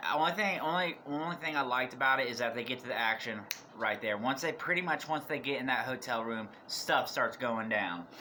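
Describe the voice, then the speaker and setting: Noticeable noise fills the background as a man talks at a medium pitch. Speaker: YouTuber reviewing horror movies. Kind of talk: casual video review. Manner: rambling, halting with restarts.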